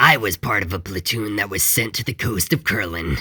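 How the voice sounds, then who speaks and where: This man performs in a put-on character voice. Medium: read story. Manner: grave, reflective.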